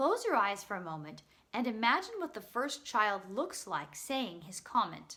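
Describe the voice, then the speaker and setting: A woman's bright, sharp tone with very wide pitch swings. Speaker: teaching artist. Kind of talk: instructional talk to camera.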